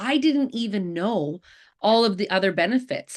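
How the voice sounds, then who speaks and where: A woman with a Canadian accent, an unremarkable speaking voice, lively intonation and a moderate pace, over a quiet background. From Canada, Alberta. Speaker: network marketing presenter. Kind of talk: sales presentation on video call. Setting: video call.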